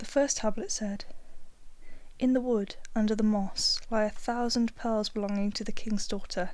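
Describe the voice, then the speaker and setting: The speaker is soft-spoken. The delivery keeps a moderate pace. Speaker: audiobook reader. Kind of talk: ASMR fairy tale reading for sleep.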